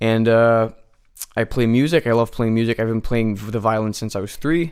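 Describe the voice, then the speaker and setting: In a very clean recording with a silent background, a man at medium pitch talks at a fairly quick pace with fairly even intonation. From New Jersey, US (Hungarian community). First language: Hungarian. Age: young. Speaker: university student and musician. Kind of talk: radio interview. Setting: radio studio. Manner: hesitant, many fillers and restarts.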